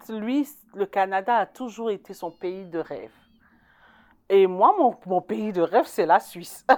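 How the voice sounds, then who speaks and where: A woman's medium-pitched voice, very slow in pace, with lively intonation, in a very clean recording over a silent background. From Ivory Coast. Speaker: community volunteer. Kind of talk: interview testimony.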